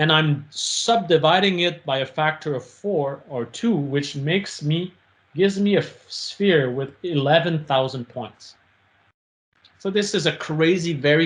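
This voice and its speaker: Somewhat breathy, a man talks at a moderate pace with a fairly high pitch. His pitch varies in an ordinary way. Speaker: professor. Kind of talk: lecture. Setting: video call. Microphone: video call.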